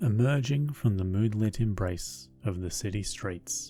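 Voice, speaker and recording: Music in the background behind a man with an Australian accent, fairly low pitch, lively intonation and a very slow pace. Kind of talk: sleep story.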